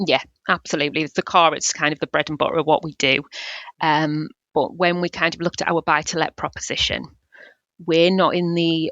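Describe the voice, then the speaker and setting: A woman with a North East England accent, a fairly low pitch and fairly even intonation. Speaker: building society business development manager. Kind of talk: interview. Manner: hesitant, many fillers.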